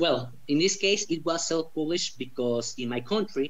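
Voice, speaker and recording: This man speaks with a Spanish accent and ordinary pitch variation. Room echo is audible around him. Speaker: author. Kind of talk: interview.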